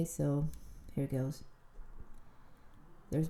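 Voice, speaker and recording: A somewhat breathy woman's voice, very deep and low in pitch. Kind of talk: casual storytime talk to camera. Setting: outdoors, walking.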